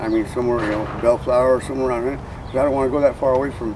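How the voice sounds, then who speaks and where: A man's medium-pitched voice at a very fast pace, over noticeable background noise. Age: 60s. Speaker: unhoused person. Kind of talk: casual chat. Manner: halting, repetitive.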